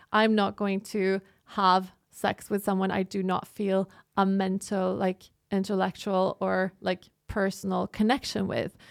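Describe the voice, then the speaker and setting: In a dry, close sound with no echo, a woman with a Norwegian accent talks at a fairly slow pace in a monotone, flat intonation. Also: medium pitch for a woman, very clean recording, silent background. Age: 30s. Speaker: podcast co-host and journalism student. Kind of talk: casual chat.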